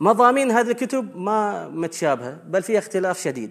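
With a Bahraini accent, a man speaks at a moderate pace in a high pitch and with lively intonation. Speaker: lecturer on Islamic sects. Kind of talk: lecture. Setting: hall with live audience.

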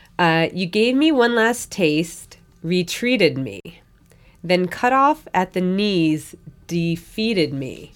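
Very slowly, a woman with medium pitch speaks with very wide pitch swings. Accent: American. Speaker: podcast host. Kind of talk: casual chat.

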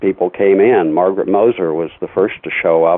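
A man's very deep, low-pitched voice at a moderate pace. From US Midwest (Indiana). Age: 60s. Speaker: radio DJ. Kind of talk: interview. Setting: phone call.

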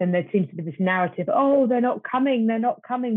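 In a British accent, a woman is talking. Her pitch variation is ordinary. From Britain. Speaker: marketing agency executive. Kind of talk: panel discussion.

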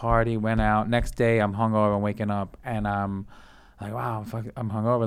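At a moderate pace, a man talks at a medium pitch. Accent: New York. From Brooklyn, New York City. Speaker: comedian. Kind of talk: casual chat.

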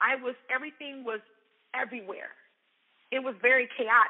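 A woman with a high voice and an American accent talks at a moderate pace. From US South, Mobile, Alabama. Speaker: entrepreneur and coach. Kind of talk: personal story talk.

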